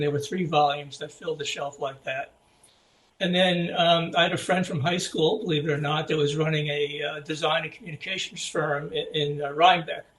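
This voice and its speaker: Noticeable background noise surrounds a man speaking at a moderate pace. His fairly high pitch stays in a monotone, flat intonation. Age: 70s. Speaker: graphic designer. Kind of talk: interview. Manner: halting, many fillers.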